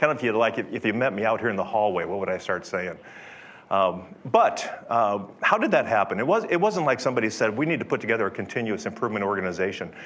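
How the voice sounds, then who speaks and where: Audible room echo surrounds a man speaking at a very fast pace with medium pitch. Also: ordinary pitch variation. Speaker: software company executive. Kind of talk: conference talk. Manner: loud; conversational, unscripted. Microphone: speaking without microphone.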